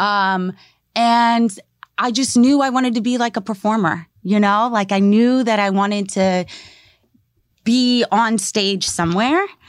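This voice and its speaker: An ordinary speaking voice from a woman with an American accent, fairly high pitch, ordinary pitch variation, a fairly slow pace and very even loudness, in a very clean recording with a silent background. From Maryland, US. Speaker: spoken word artist and teacher. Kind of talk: interview conversation. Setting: studio. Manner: casual with many fillers.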